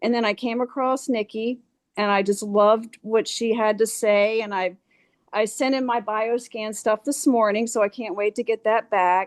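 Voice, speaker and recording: A woman speaks at a moderate pace with a fairly high pitch and fairly even intonation, in an ordinary speaking voice. The sound is dry and close with no echo, over a quiet background. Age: 60s. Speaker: massage therapist. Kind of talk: casual chat.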